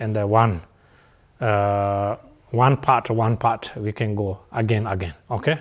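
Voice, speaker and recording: A man at a fairly slow pace on a very clean recording with a silent background. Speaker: Buddhist teacher. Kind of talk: dharma teaching. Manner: halting with many fillers.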